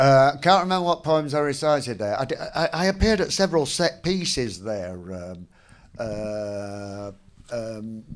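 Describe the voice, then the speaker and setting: Speaking at a fairly slow pace, a man with a Mancunian accent makes very wide pitch swings. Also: medium pitch for a man. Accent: Northern English, Mancunian. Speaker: performance poet. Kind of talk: on-stage conversation, casual. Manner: dry, witty.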